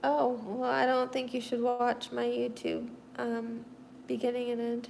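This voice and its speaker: With an American accent, a woman speaks at a fairly slow pace amid noticeable background noise and audible room echo. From US Midwest (Missouri). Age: 30s. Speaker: livestreamer, artist with quadriplegia. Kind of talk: casual livestream chat answering viewer comments.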